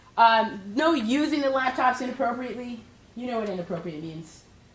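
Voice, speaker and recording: A woman with a fairly high pitch is speaking. Her pitch swings very widely, and the room echo is audible. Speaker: professor. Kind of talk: lecture. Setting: classroom. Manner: fast.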